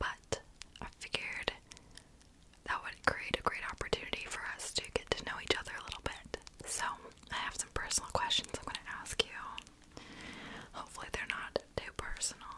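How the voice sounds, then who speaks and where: Whispering at a moderate pace, a woman leaves long, frequent pauses. Her loudness swings widely. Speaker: ASMR content creator. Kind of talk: ASMR personal-attention roleplay. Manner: whispered, soft. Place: office.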